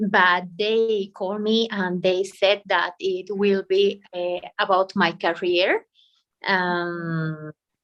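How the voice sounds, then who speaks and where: A woman's medium-pitched voice at a very slow pace, in a Spanish accent. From Bolivia. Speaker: English student, law professional. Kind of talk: language class conversation. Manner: halting.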